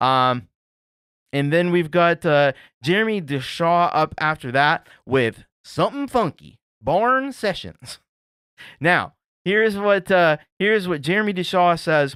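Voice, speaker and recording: A man with an American accent speaks in a high pitch and a bright, sharp tone, his lively intonation broken by long, frequent pauses, on a very clean recording with a silent background and a dry, close sound with no echo. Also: fairly slow pace. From Appalachia, US. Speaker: music showcase host. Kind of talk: casual show hosting, reading submissions. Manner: casual, filler-heavy.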